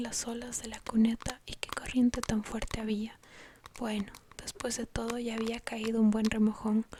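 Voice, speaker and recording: Through noticeable background noise, a woman with a fairly high pitch talks at a moderate pace in a monotone, flat intonation with big swings in loudness. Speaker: ASMR creator. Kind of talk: whispered bedtime story reading.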